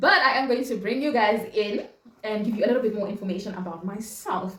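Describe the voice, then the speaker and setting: A woman speaks in a Zimbabwean accent with ordinary pitch variation. Noticeable background noise and audible room echo fill the recording. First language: Shona. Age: 20s. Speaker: vlogger and chef. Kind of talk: casual chat. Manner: animated, repetitive.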